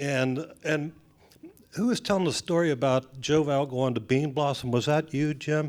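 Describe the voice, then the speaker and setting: An ordinary speaking voice, a man with an American accent talks at a moderate pace with a fairly high pitch, ordinary pitch variation and very even loudness. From Washington, D.C. area. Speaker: bluegrass singer. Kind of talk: audience comment at panel. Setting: festival panel with audience.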